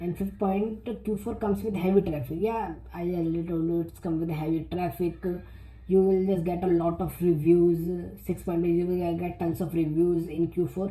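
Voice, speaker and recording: A woman with a non-native accent speaks in a somewhat breathy voice with a dark, mellow tone, and the room echo is audible. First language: not English. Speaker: self-publishing youtuber. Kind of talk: tutorial. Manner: halting, many repetitions and fillers.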